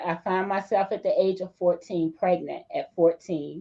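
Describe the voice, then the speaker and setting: Her pitch sits at a medium level for a woman and varies in an ordinary way. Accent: American. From US, Eastern Shore of Maryland. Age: 60s. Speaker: pastor. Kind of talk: podcast interview, personal story. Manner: hesitant with frequent fillers.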